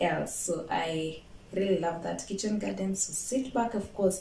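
Moderate pace, ordinary pitch variation, light background noise and audible room echo. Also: woman. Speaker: home gardening vlogger. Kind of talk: casual vlog chat.

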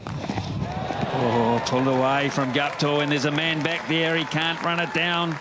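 Against crowd noise in the background, a man with a fairly high pitch talks at a fairly slow pace with hardly any pauses, his warm, relaxed tone holding very even loudness and fairly even intonation. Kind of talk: live commentary. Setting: cricket ground commentary. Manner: fluent, warm and appreciative, praising shots in a relaxed tone.

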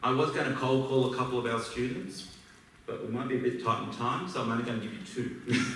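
A man's medium-pitched voice at a very fast pace, with fairly even intonation, audible room echo and light background noise. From Australia. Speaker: business school alumnus. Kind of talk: speech to an audience. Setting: stage with audience. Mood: warm, reflective. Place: hall.

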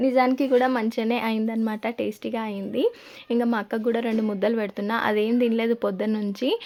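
A woman with a fairly high pitch speaks in a monotone, flat way with a dark, mellow tone, on a very clean recording with a silent background. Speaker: family vlogger. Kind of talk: casual vlog narration.

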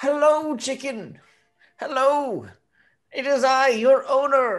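A female-sounding voice puts on a high-pitched character voice at a very slow pace. The background is quiet. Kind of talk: very different voice. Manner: grand, theatrical.

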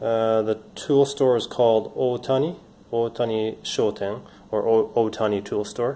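Fairly even intonation from a man. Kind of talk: casual product showcase.

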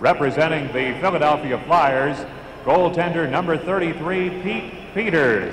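A man speaks at a fairly slow pace with a fairly high pitch and ordinary pitch variation, over noticeable background noise. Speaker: arena announcer. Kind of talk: live arena PA announcing of player introductions, formal roll-call. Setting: arena PA system with crowd. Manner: formal, crisp, measured and ceremonial; projecting, announcer-style delivery with rising emphasis on each name. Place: stadium.

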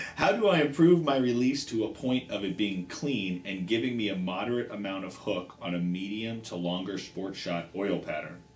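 A man speaks at a fairly low pitch and a moderate pace with hardly any pauses. Audible room echo is present. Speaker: show host. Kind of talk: reading a viewer question aloud. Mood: light, joking start. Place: shop.

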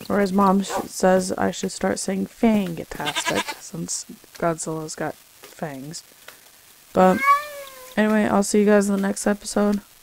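A woman talks at a fairly slow pace with ordinary pitch variation amid noticeable background noise. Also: medium pitch for a woman. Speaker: gaming video creator. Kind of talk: gameplay commentary.

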